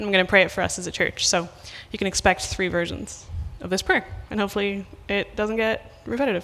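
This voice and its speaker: Over noticeable background noise, a woman at medium pitch speaks at a very fast pace with fairly even intonation. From west of Ireland. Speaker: missionary preacher. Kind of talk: sermon. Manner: casual with many fillers.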